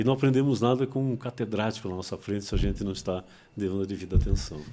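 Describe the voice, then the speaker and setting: The tone is dark and mellow. The pace is very fast, and the pitch varies in an ordinary way. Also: man, fairly low pitch for a man. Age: 70s. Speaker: psychologist. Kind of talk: interview. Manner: casual.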